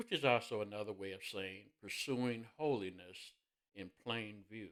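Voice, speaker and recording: In an Indiana accent, a man talks at a fairly slow pace with a fairly low pitch and ordinary pitch variation. His loudness swings widely. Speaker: minister. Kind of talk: sermon-style devotional talk.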